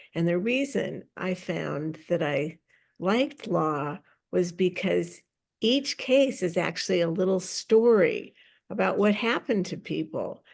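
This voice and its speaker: At a fairly slow pace and medium pitch, a woman with an American accent talks with lively intonation and vocal fry against a quiet background. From US Pacific Northwest, Seattle. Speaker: public speaking coach and film producer. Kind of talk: interview. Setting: podcast.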